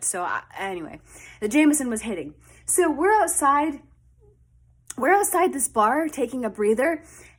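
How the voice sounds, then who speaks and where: In a very clean recording with a silent background, a woman speaks at a fairly slow pace. Her tone is animated, with very wide pitch swings. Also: big swings in loudness. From Canada. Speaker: storytime vlogger. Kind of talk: personal storytelling. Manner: casual, animated.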